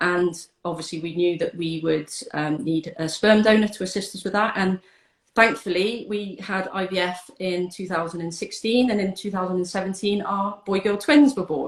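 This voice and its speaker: The woman has a British accent and a medium pitch. She talks at a moderate pace with ordinary pitch variation. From UK. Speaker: donor-conception advocate. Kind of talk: interview chat. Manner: hesitant, many fillers.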